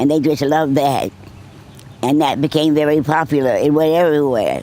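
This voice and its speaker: A woman talks at a fairly quick pace with a Boston accent, her pitch very deep and low. Her tone is dark and mellow, and her intonation stays fairly even. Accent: northern US, Boston. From Boston, Massachusetts. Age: 100s, stated 106. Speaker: war veteran. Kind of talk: interview. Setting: nursing home.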